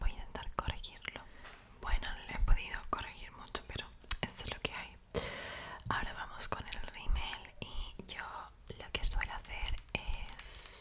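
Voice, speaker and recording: Whispering at a fairly slow pace, a woman leaves long, frequent pauses and swings widely in loudness. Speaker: ASMR creator. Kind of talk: casual talk to camera while doing makeup. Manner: whispering, soft, intimate. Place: home room. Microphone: studio mic.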